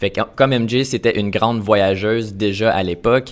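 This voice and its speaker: The recording is very clean, with a silent background. A man speaks at a moderate pace and a fairly low pitch, with fairly even intonation. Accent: Canadian French. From Canada, Ottawa region. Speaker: travel filmmaker. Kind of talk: interview. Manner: hesitant, many fillers.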